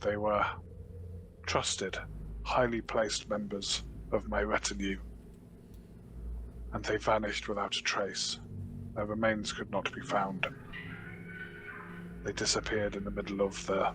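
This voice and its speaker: At a moderate pace, a put-on character voice speaks with long, frequent pauses over clear background noise. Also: man, fairly low pitch for a man. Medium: actual play. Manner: formal, regal, measured.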